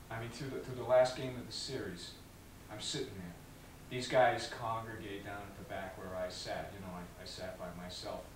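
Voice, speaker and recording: A man talks at a moderate pace with ordinary pitch variation. Audible room echo and light background noise surround him. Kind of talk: interview answer, acted monologue. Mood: aggrieved, storytelling. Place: empty room.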